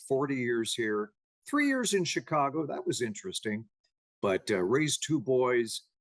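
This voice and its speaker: An unremarkable speaking voice moves at a fairly slow pace with lively intonation. The sound is dry and close, with no echo. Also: man. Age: 60s. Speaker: TV meteorologist and entrepreneur. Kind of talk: interview. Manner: relaxed, conversational.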